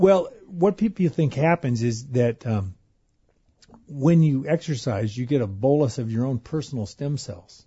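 The intonation is lively as this man talks. There is a somewhat breathy quality to his voice. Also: medium pitch for a man, moderate pace. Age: 50s. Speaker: anesthesiologist, exercise physiologist. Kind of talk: radio interview. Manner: repeats words, energetic.

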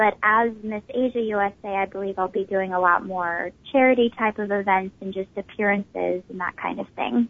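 A woman at a moderate pace with hardly any pauses and ordinary pitch variation. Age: 20s. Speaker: beauty pageant winner. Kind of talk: interview. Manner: many fillers, hesitant.

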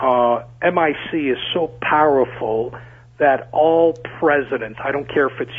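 A man is talking at a moderate pace. His pitch sits in the medium range.

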